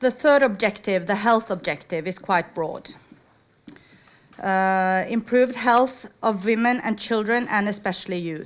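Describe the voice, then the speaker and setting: At a fairly slow pace, a woman speaks in a fairly high pitch with ordinary pitch variation. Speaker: research funding officer. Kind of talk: conference presentation. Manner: loud.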